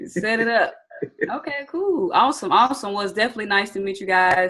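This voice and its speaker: A woman talks at a very fast pace with a Southern US accent. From US South, Atlanta, Georgia. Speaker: trading educator. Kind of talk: webinar training. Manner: animated.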